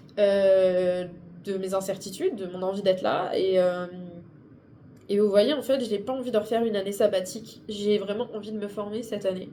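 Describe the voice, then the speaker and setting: Audible room echo surrounds a woman with a medium pitch. She keeps a moderate pace and fairly even intonation. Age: 20s. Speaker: booktuber and streamer. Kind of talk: vlog. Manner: halting.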